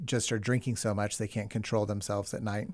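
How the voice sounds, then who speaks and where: A man with an American accent, fairly low in pitch, in a flat monotone, on a very clean recording with a silent background. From Texas. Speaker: pediatric critical care doctor. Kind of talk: interview. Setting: studio.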